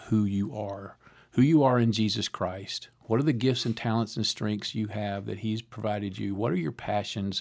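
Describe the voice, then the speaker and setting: Here is a man with a fairly low pitch, an unremarkable speaking voice and ordinary pitch variation. He keeps a moderate pace with hardly any pauses on a very clean recording with a silent background. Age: 60s. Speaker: university president and former pastor. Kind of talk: casual interview. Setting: studio.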